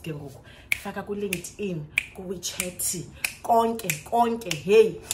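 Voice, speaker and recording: Over noticeable background noise, a woman with a South African accent speaks in an animated tone with ordinary pitch variation. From South Africa, Xhosa-speaking. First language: isiXhosa. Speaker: vlogger, English teacher in China. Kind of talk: storytime vlog. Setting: recorded to camera at home. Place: home room. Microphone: phone near.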